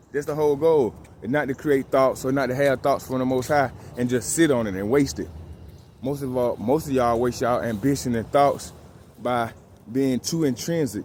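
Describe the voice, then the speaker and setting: A man with a medium pitch speaks at a moderate pace, his pitch varying in an ordinary way. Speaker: fitness and discipline vlogger. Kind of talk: motivational vlog talk. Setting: outdoors.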